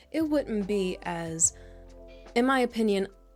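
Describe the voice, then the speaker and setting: Music plays behind a woman's voice. Her pitch sits in the medium range, and her intonation is lively. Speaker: ASMR creator. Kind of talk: ASMR Q&A to camera, doting comforting talk. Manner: soft-spoken, gentle, comforting.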